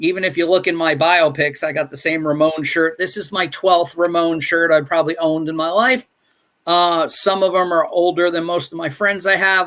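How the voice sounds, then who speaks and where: At a fairly quick pace, the voice has a bright, sharp tone on a very clean recording with a silent background. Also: man, high pitch for a man. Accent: American. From New York City (Staten Island). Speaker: comic book creator and stream host. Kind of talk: casual livestream interview. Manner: animated.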